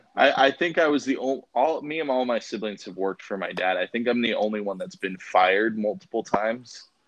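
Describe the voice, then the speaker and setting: A man with an American accent and an unremarkable speaking voice speaks at a medium pitch and a fairly quick pace, with lively intonation and hardly any pauses. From Idaho, US. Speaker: podcast host. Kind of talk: interview.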